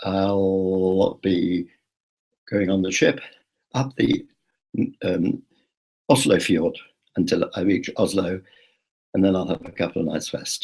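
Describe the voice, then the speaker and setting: A man in a British accent, very deep and low in pitch, very slow with long, frequent pauses and fairly even intonation. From Britain. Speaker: travel vlogger. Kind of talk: live video blog. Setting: live online broadcast. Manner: chatty, with hesitations.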